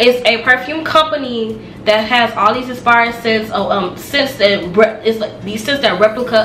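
A woman at a moderate pace, with ordinary pitch variation, audible room echo and light background noise. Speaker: beauty vlogger. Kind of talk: casual product review. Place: home room. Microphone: camera far.

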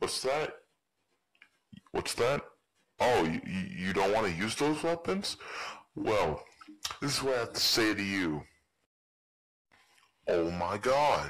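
A man's raspy, put-on character voice at medium pitch, fairly slow, with long, frequent pauses. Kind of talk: game character voice lines. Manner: casual, rambling.

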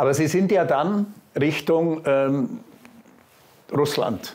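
Speaking at a very slow pace with long, frequent pauses, a man keeps his intonation lively. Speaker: interviewer. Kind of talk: interview question. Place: home room.

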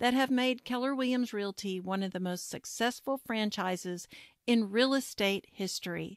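Dry and close with no echo, a very clean recording with a silent background carries a woman's fairly high pitch in an unremarkable speaking voice, at a fairly slow pace with ordinary pitch variation. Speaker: podcast host. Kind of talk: interview.

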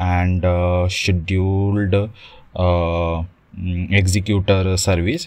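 The voice has a slightly mellow tone and little pitch movement. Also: man.

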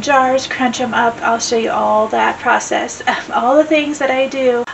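This woman's voice sits high with fairly even intonation. There is light noise in the background. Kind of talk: casual vlog chat. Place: home room.

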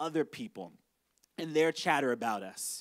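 With lively intonation, a man talks at a moderate pace over a quiet background. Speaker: pastor. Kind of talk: sermon. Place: stage. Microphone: handheld.

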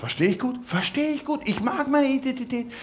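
Noticeable background noise runs under this recording. A man talks at a moderate pace with ordinary pitch variation. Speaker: cabaret artist. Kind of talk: cabaret stage performance. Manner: hesitant, halting, ironic. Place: stage. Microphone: headset.

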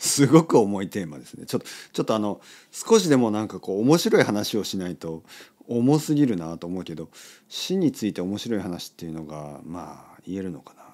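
In a very clean recording with a silent background, a man speaks with a dark, mellow tone at a fairly low pitch. His pace is fairly quick, with very wide pitch swings and big swings in loudness. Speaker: podcast host, Japanese teacher. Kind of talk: casual monologue for language learners.

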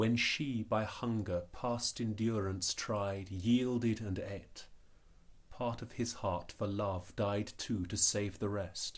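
A man speaks very slowly in a fairly low pitch, somewhat breathy, with fairly even intonation. His tone is theatrical and dramatic. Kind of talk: poetry reading, performed verse. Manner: measured, theatrical, deliberate rhythm with dramatic emphasis; wry, tongue-in-cheek in the humorous cereal-box stanzas, then solemn and mournful.

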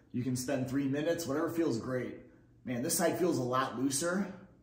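A man's fairly quick voice with fairly even intonation and audible room echo. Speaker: fitness instructor. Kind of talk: tutorial. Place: empty room.

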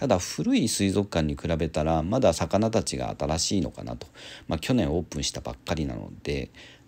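A man with a very deep, low voice speaks at a moderate pace with vocal fry and lively intonation. The recording is very clean, with a silent background. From Japan, Kawasaki. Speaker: aquarium and pet YouTuber. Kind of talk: casual vlog narration.

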